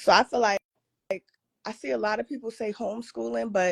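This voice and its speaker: A woman talks at a fairly quick pace with a medium pitch and lively intonation. The sound is dry and close with no echo. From Philadelphia, South Philly. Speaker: caller, podcaster. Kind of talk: call-in question to lecturer. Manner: casual, filler-heavy.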